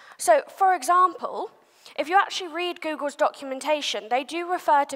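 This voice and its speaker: Here a woman talks. The rise and fall of her pitch is ordinary. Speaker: SEO agency head, conference speaker. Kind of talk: conference talk. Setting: stage with audience. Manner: fast.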